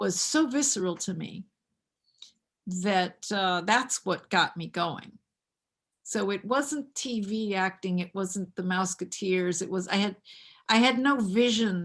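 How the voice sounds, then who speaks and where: Against a quiet background, a woman talks at a fairly slow pace with long, frequent pauses. Her medium-pitched voice has ordinary pitch variation. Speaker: acting coach. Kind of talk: interview. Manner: halting, many fillers and repeated words.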